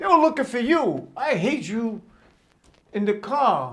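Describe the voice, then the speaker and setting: A man with a New York accent speaks in very wide pitch swings. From Brooklyn, New York. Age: 70s. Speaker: storyteller. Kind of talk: personal storytelling. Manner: halting.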